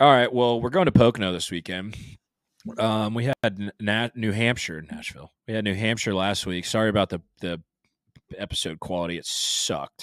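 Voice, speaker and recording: Using an ordinary speaking voice, a man with an American accent and fairly low pitch talks at a moderate pace with ordinary pitch variation, recorded very clean, dry and close with no echo and a silent background. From Jacksonville, Florida. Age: 20s. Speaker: podcast host. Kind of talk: casual chat. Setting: mobile studio.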